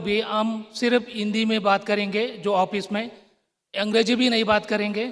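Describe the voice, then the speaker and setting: Speaking with a Tamil accent, a man uses a high pitch and monotone, flat intonation. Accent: South Indian (Tamil) accented Hindi. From Tamil Nadu, South India. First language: Tamil (speaking Hindi). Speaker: public sector company director. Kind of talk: formal ceremony speech.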